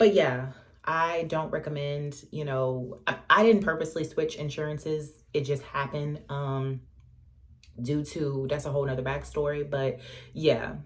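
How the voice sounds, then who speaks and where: Somewhat breathy and fairly even in intonation, a woman talks at a moderate pace in a very deep, low pitch. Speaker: vlogger. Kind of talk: casual vlog storytelling. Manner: chatty, many fillers.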